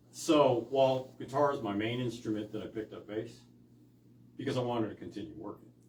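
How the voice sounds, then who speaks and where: Amid noticeable background noise, a man speaks at a fairly quick pace and medium pitch, his intonation fairly even and his loudness swinging widely. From San Francisco Bay Area. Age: 60s. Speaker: blues guitarist. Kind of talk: casual interview chat. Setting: rehearsal studio.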